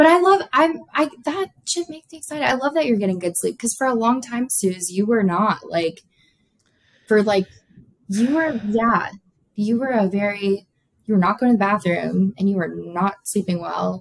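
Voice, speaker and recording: With an American accent, a woman talks at a moderate pace in a medium pitch, her voice somewhat breathy and her intonation lively. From South Florida. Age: 20s. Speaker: nursing student. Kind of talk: casual chat.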